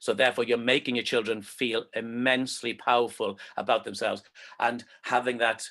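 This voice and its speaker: Quiet surrounds a man speaking in an unremarkable speaking voice. His pitch is medium and his pace moderate. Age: 50s. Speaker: presenter and movement skills coach. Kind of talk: online presentation talk.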